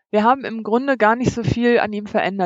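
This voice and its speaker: Here is a plain, everyday voice from a woman. Her pitch is fairly high and her intonation fairly even. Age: 40s. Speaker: van-life traveler and blogger. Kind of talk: interview.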